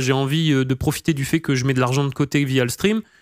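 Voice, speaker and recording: In a very clean recording with a silent background, a man talks with ordinary pitch variation and a dry, close sound with no echo. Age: 20s. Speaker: streamer. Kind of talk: casual chat. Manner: halting.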